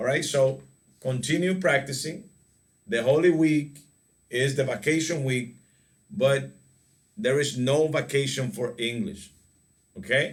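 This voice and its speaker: Somewhat breathy and fairly high for a man, his voice moves fairly slowly with ordinary pitch variation and long, frequent pauses, in audible room echo. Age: 40s. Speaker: English teacher. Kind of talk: online class lesson.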